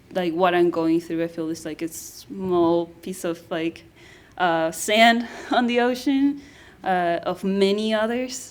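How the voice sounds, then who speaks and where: A woman with a Spanish accent, lively intonation and a very slow pace. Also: medium pitch for a woman. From Guatemala. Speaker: anthropologist. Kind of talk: panel discussion. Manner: halting.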